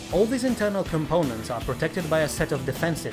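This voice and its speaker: A man is speaking. Music plays in the background. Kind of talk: in-universe lore narration.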